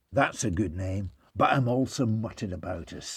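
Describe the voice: This is plain reading aloud, with pitch varying by an ordinary amount.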